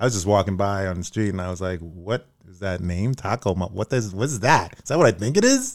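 A man with a Brooklyn accent at a very fast pace, fairly low in pitch with ordinary pitch variation and big swings in loudness, on a very clean recording with a silent background. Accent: New York (Brooklyn). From New York (Brooklyn). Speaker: podcast host, actor and singer. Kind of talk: casual chat. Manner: animated.

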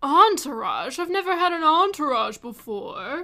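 Putting on a character voice, a woman talks at a moderate pace with an extremely high pitch. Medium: actual play. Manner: pompous, theatrical.

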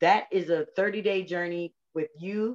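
This woman's voice is fairly low and animated. The sound is dry and close, with no echo. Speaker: author and speaker. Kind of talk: testimony, motivational talk. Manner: animated, heartfelt.

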